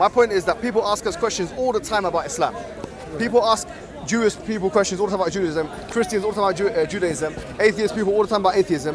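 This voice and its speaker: Talking at a very fast pace in a London accent, a man uses a high pitch with ordinary pitch variation amid noticeable background noise. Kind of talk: heated debate. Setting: outdoors, public park. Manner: fast, interrupting.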